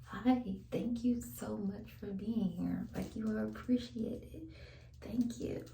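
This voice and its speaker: There is audible echo in the room. A woman talks at a very slow pace. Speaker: vlogger. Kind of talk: casual chat. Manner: soft-spoken.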